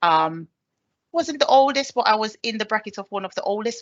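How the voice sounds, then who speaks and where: Her voice is fairly high-pitched, and this woman keeps a moderate pace. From Jamaica. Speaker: army staff sergeant. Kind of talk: presentation. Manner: hesitant with fillers.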